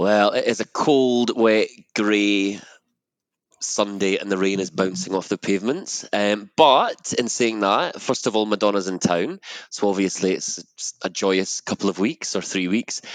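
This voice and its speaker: In a Scottish accent, a man talks at a fairly slow pace and fairly low pitch with ordinary pitch variation, the sound dry and close with no echo. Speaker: podcast guest correspondent. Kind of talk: casual chat.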